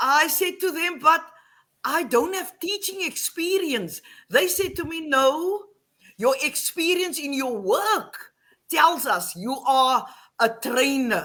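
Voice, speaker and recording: A woman speaks at a very slow pace in a raised, projected voice with a bright, sharp tone. Her pitch is high and swings very widely. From Western Cape, South Africa. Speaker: online English teacher and teacher trainer. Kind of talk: interview on a live stream.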